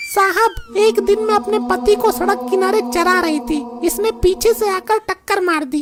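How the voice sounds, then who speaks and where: Over loud music in the background, a woman does a cartoonish character voice at an extremely high pitch, with very wide pitch swings, very even loudness and a moderate pace. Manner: earnest and theatrical.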